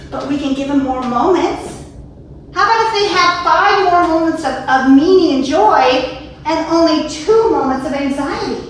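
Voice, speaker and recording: In a room with audible echo and noticeable background noise, a woman talks at a moderate pace with lively intonation and an extremely high pitch. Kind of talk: talk to an audience. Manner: animated.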